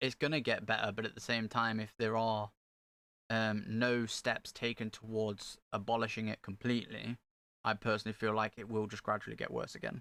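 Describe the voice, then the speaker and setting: In an East Midlands accent, a man speaks at a medium pitch with a bright, sharp tone and monotone, flat intonation. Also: fairly quick pace, dry, close sound with no echo, very clean recording, silent background. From England, Nottingham (Meadows area). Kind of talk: casual chat.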